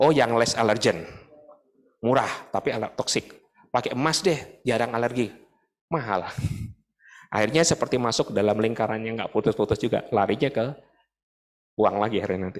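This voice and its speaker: A man talks at a fairly quick pace with ordinary pitch variation. The background is quiet. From Indonesia, Bandung; Indonesia. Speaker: dental professor, guest lecturer. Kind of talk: lecture. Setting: lecture hall with audience. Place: hall. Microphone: handheld.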